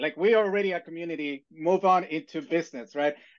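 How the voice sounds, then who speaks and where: Talking at a very fast pace, a man with a non-native accent has a high pitch and ordinary pitch variation. The background is quiet. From immigrant, outside the US. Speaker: university instructor, panelist. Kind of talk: webinar panel discussion. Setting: online webinar. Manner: halting, many fillers.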